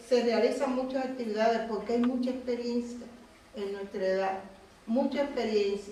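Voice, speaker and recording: A woman speaks at a high pitch and a moderate pace. Noticeable background noise and audible room echo fill the recording. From Cuba. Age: 60s. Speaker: activist. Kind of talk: public talk.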